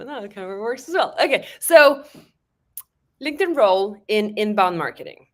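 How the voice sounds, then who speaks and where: A woman is speaking. Her pitch swings very widely. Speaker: webinar host. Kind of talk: live webinar interview. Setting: live stream video call. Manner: slow.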